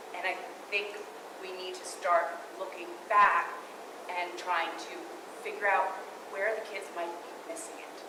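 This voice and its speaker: The woman's voice sits at a medium pitch, with audible room echo around it. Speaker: public commenter. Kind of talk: public comment. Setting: school board meeting. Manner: loud. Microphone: speaking without a mic.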